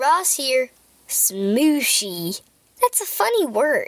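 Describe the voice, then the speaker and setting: A woman's put-on character voice, upbeat and playful in tone, with very wide pitch swings at a fairly slow pace. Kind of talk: kids' show host. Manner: upbeat, playful, silly.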